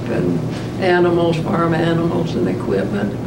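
The speech moves at a fairly slow pace beneath loud background noise. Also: woman. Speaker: World War 2 nurse. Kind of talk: interview answer. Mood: calm, reflective. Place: meeting room.

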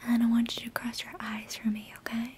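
A woman speaks at a moderate pace with a high voice. Light background noise can be heard. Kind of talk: roleplay exam talk to the viewer. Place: home room.

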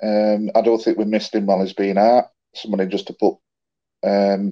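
Quiet surroundings and a male voice. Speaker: guest. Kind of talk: casual chat about a match. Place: home room. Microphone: video call.

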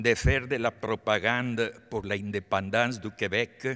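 Fairly low in pitch, a man with a Spanish accent has a bright, sharp tone and fairly even intonation. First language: Spanish (speaking French). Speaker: artist, honorary doctorate recipient. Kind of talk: acceptance speech. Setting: concert hall stage with audience. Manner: halting. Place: hall. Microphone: podium.

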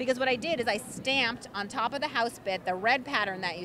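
Noticeable background noise sits behind a woman speaking at a very fast pace with ordinary pitch variation. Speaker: craft designer demonstrating products. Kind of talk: interview answer. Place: hall. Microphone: handheld.

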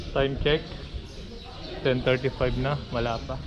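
A man speaks with clear music in the background. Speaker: vlogger. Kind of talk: casual vlog chat. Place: garage. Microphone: phone near.

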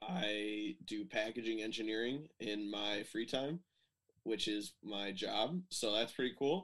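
The speaker talks at a very slow pace with an Upper Midwest accent. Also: man. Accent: Upper Midwest American. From Michigan, US Midwest. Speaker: telemark skier. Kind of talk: casual chat. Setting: video call.

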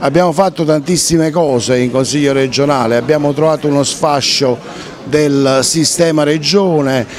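A man talks at a fairly slow pace with ordinary pitch variation. The sound is dry with no echo, with light background noise. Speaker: regional politician. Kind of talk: interview answer.

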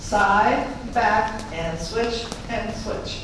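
Strong room echo and light background noise mark this recording. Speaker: fitness instructor. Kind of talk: live line dance class teaching, step-by-step instruction. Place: hall.

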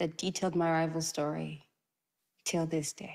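A woman speaks at a fairly low pitch with a slightly mellow tone, vocal fry, and little pitch movement.

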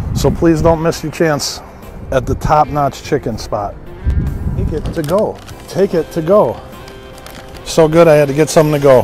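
A man at a moderate pace with ordinary pitch variation and long, frequent pauses, over clear music in the background, the sound dry with no echo. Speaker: food reviewer. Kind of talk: casual vlog chat. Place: street. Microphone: phone near.

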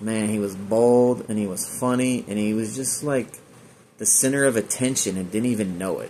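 A man with an American accent speaks at a moderate pace with fairly even intonation over light background noise. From Northern California (Chico); Northern California. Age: 40s. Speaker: online video creator. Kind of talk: personal tribute monologue. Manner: halting, many fillers. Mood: grieving, reflective. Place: home room. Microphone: phone near.

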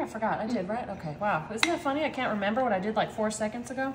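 A woman's very fast speech over light background noise. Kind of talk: casual cooking vlog chat. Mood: cheerful, chatty. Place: kitchen. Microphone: camera far.

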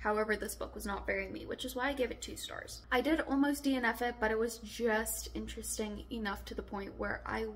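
Here a woman speaks at a moderate pace. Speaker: book vlogger. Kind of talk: casual vlog chat. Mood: mildly disappointed, wry. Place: home room.

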